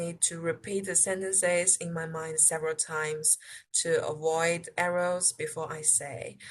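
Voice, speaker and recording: Somewhat breathy woman's voice with a Chinese accent, fairly low in pitch, at a fairly slow pace with fairly even intonation. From China. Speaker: international student. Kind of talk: interview answers. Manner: halting.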